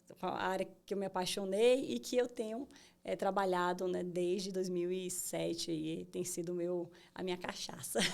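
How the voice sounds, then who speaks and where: This woman talks at a moderate pace. Her medium-pitched voice shows ordinary pitch variation. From Bahia, Brazil. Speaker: tech entrepreneur. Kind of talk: interview. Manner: many fillers and hesitations.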